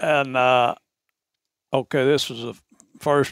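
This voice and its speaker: A man with an Arkansas accent talks at a fairly slow pace in a monotone, flat intonation. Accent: Southern US (Arkansas). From Arkansas, Ouachita Mountains. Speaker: camp owner, hunter. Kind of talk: storytelling. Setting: hunting camp. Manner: halting.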